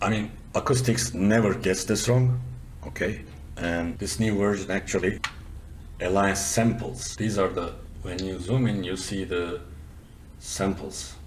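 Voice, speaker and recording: A man with a non-native accent and a fairly low pitch talks at a fairly slow pace with long, frequent pauses, his voice somewhat breathy, his pitch varying in an ordinary way, and the room echo audible. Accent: noticeable foreign. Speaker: software developer and audio tutorial presenter. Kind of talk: tutorial. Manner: casual, conversational with fillers.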